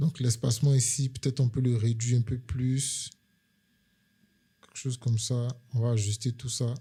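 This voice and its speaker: A man's medium-pitched, somewhat breathy voice has a dark, mellow tone, moving at a moderate pace in a monotone, flat intonation with long, frequent pauses. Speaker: UX/UI designer, tutorial creator. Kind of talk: screen-share tutorial. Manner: hesitant, many fillers.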